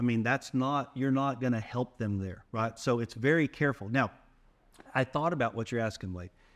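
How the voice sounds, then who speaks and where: At a moderate pace, a man uses an unremarkable speaking voice, medium in pitch with ordinary pitch variation. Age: 50s. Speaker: faith podcast co-host. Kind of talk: casual chat.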